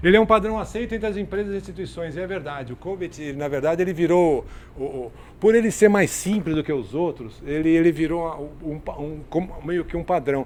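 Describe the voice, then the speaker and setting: This man's voice sits high in pitch, moving at a fairly quick pace with ordinary pitch variation. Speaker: lecturer on IT governance. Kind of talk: lecture. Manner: fast; halting, many repetitions.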